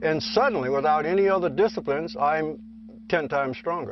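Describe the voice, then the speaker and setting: This man speaks with an American accent and lively intonation. His pitch is high and his pace fairly quick. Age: 60s. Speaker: breatharian and sungazing practitioner, former studio owner. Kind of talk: documentary interview.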